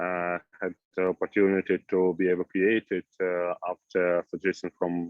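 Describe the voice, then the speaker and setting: In an Eastern European accent, a man speaks at a fairly slow pace with a very deep, low pitch. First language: Russian or Ukrainian. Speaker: new immigrant. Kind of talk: group discussion. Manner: halting.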